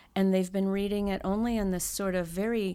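Female speech captured very cleanly against a silent background. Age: 50s. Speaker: tarot card reader and author. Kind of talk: interview. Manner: halting.

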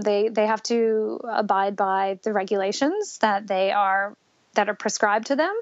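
Using a normal speaking voice, a woman talks at a fairly slow pace in a fairly high pitch with fairly even intonation. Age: 30s. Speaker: mother sharing birth story. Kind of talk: testimony.

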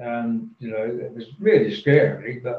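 A somewhat breathy male voice. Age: 60s. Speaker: professional speaker and author. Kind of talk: casual interview, storytelling.

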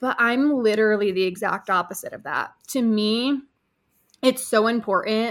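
A woman talks at a fairly high pitch and a moderate pace with ordinary pitch variation, on a very clean recording with a silent background. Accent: American. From upstate New York. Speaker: copywriter and business owner. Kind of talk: casual interview.

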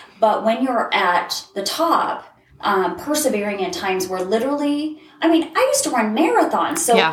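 At a fairly high pitch, a woman talks at a moderate pace with very wide pitch swings, amid noticeable background noise and audible room echo. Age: 40s. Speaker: life coach and college instructor. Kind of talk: casual chat. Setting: in person at host's place.

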